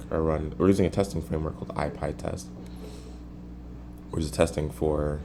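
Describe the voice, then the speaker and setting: Vocal fry runs through a man's very deep, low voice. Audible echo fills the room. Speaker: programmer recording coding session. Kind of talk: live coding tutorial.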